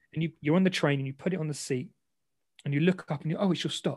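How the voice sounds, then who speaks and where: A man with a London accent talks very fast in a fairly high, somewhat breathy voice, his pitch moving in an ordinary way, on a very clean recording with a silent background. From London, England. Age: 30s. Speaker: ex semi-professional boxer and content creator. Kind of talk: interview conversation.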